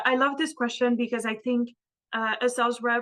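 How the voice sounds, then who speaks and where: A woman with a non-native accent talks at a moderate pace in a fairly high pitch. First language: not English. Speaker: sales representative for chemistry equipment. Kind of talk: interview answer. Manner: halting, many fillers.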